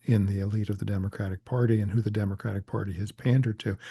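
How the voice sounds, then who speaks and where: Fairly quick and somewhat breathy, a man talks at a fairly low pitch with ordinary variation. The sound is dry and close with no echo, over a quiet background. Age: 70s. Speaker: political organizer and author. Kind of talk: interview.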